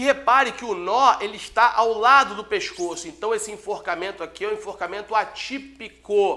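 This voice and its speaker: A man's raised, projected voice, high-pitched, bright and sharp, at a fairly quick pace. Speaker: law exam lecturer and police chief. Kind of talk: lecture. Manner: fast.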